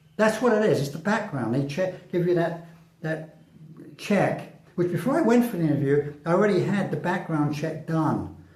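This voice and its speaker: Noticeable background noise and audible room echo surround this recording. A man speaks in a high pitch with ordinary pitch variation. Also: moderate pace. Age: 60s. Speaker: vlogger. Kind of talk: casual monologue. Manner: halting.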